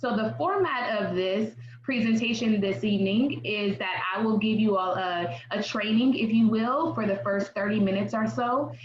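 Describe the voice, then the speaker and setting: Her pitch fairly high with ordinary variation, a woman talks at a moderate pace with hardly any pauses, amid audible room echo and noticeable background noise. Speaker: therapist presenting a parent workshop. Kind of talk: online workshop presentation. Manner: animated.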